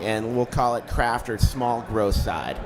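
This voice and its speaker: A man at a medium pitch talks with music in the background. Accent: Chicago. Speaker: cannabis media company founder. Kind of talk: interview. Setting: live event.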